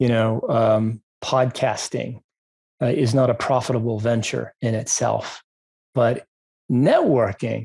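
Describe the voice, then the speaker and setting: A man with an American accent speaks at a very slow pace with long, frequent pauses, fairly even intonation and very even loudness, his somewhat breathy voice dry and close with no echo. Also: medium pitch for a man. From Maine, US. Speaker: podcast host, business broker. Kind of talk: podcast interview.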